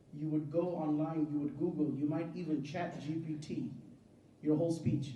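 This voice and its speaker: A fairly high-pitched man with an American accent, moderate pace and ordinary pitch variation, in audible room echo. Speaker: Islamic scholar. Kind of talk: religious talk to a congregation.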